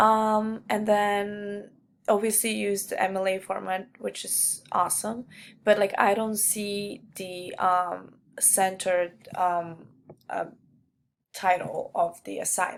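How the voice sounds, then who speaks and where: A woman at a medium pitch in a non-native accent, very slow, monotone and flat, with big swings in loudness. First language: not English. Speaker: student. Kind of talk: peer feedback recording. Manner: halting, many fillers.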